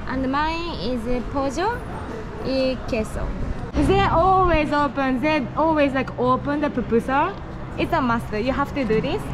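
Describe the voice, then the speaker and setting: The voice belongs to a woman, with ordinary pitch variation. Noticeable background noise is present. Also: moderate pace. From Japan. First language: Japanese. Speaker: travel vlogger. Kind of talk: casual travel vlog. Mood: cheerful, curious. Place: cafe. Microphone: phone near.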